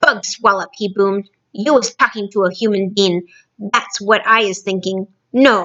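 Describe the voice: Plain reading aloud is heard with a quiet background behind it.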